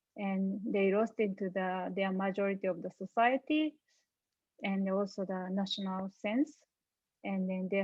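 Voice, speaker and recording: A woman speaks with a Japanese accent at a medium pitch. Her pace is moderate and her pitch variation ordinary. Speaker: panelist. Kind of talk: panel discussion. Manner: halting.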